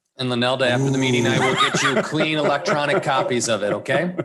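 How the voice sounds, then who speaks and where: Speaking in an American accent, a man talks at a very fast pace with ordinary pitch variation. Audible room echo fills the recording. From Michigan. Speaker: town manager. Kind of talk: public meeting, reading ballot language and explaining items. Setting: town commission meeting.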